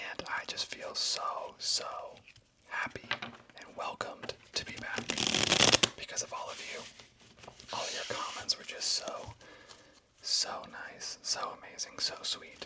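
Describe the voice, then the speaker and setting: Whispering at a fairly slow pace, a man leaves long, frequent pauses amid noticeable background noise. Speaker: ASMR creator. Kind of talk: casual talk to camera. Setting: studio. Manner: soft-spoken, whispered.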